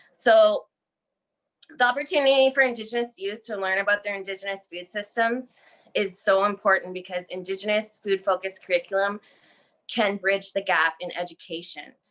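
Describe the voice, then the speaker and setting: In an unremarkable speaking voice, a woman talks at a fairly quick pace with a medium pitch and ordinary pitch variation. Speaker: graduate student presenter. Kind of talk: academic presentation.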